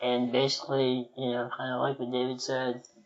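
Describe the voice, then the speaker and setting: The speaker is a man. He pitches his voice at a medium level. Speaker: podcast co-host. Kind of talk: casual chat.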